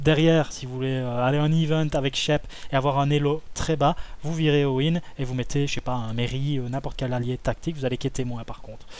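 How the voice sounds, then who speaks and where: A man with a medium pitch talks at a fairly quick pace, his intonation fairly even. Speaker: card game content creator. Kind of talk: tutorial. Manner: hesitant, many fillers.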